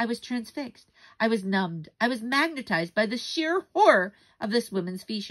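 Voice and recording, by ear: Lively intonation runs through the speech. It is reading aloud in a natural voice.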